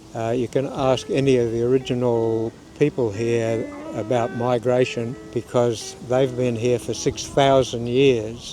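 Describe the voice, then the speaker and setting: A man with an Australian accent, medium pitch, fairly slow and monotone with flat intonation, music in the background. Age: 80s+. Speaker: interviewee. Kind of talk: interview.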